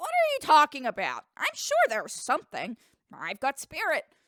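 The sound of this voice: Doing a put-on character voice, a woman speaks at a moderate pace in an extremely high pitch.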